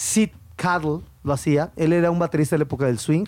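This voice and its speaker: A man speaks with a Mexico City accent. His pitch sits fairly high. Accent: chilango Mexican Spanish. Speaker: podcast co-host. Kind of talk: casual chat about music. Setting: recording studio. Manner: animated, laughing often.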